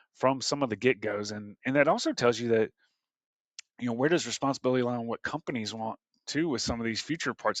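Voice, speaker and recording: Speaking at a very fast pace in an American accent, the voice shows ordinary pitch variation. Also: man, medium pitch for a man. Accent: Southern US, comes through heavy at times. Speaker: HR workforce strategy leader. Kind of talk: podcast interview. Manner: hesitant, filler-heavy.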